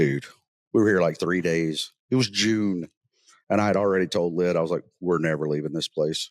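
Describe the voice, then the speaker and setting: A man's very deep, low voice with a Southern US accent, moderate pace, very even loudness and ordinary pitch variation, in a dry, close sound with no echo. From US South, North Mississippi. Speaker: podcast host, military veteran. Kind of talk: casual chat. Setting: on location, not in studio.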